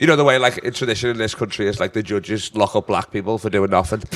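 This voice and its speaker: Speaking very fast in a Liverpool accent, a man sounds animated. His pitch is fairly low, with ordinary variation. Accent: Scouse. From northern England, Liverpool. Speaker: comedian. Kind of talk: casual chat.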